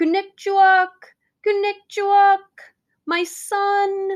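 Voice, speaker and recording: This put-on character voice sounds female and sits at an extremely high pitch. It moves at a very slow pace with monotone, flat intonation. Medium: read story. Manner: warm, motherly.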